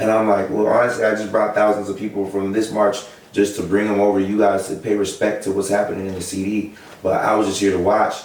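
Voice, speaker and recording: A man talks very fast at a fairly low pitch. There is audible room echo and noticeable background noise. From US Pacific Northwest, Seattle. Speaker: protest leader. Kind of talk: interview. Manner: animated.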